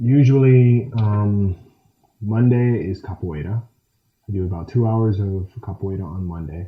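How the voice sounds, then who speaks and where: At a fairly slow pace, a man with an American accent speaks at a fairly low pitch in a somewhat breathy voice. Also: ordinary pitch variation. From USA, Michigan. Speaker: action film actor and martial artist. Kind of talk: interview answer.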